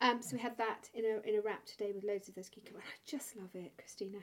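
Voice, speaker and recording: Fairly high-pitched woman's voice with a British accent, a very fast pace, hardly any pauses, ordinary pitch variation and big swings in loudness. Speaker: podcast host. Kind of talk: casual interview chat. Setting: home edit suite.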